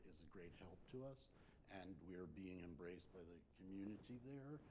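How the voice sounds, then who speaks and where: A dark, mellow tone with an American accent and audible room echo. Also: man. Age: 60s. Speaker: composer and opera company director. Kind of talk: onstage interview. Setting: stage with audience, livestreamed. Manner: halting, many fillers.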